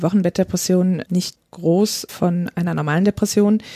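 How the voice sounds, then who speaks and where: The voice has a dark, mellow tone, is somewhat breathy and monotone with flat intonation, in a dry, close sound with no echo. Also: woman. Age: 30s. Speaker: midwife. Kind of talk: podcast interview.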